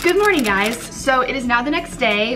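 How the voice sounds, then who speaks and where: The speech runs at a fairly quick pace while faint music plays in the background. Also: woman. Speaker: vlogger. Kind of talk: casual vlog chat. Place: kitchen. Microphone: phone near.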